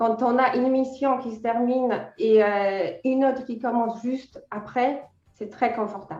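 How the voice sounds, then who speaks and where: Music plays in the background as a high-pitched woman with a Polish accent talks. Her pace is fairly slow and her intonation fairly even. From Poland. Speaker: freelance editor. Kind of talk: interview. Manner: hesitant, many fillers.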